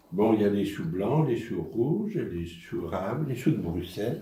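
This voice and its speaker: Over noticeable background noise and audible room echo, a man speaks fairly slowly in a fairly low voice that swings very widely in pitch. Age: 80s+. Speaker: senior talking with children. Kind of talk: intergenerational conversation.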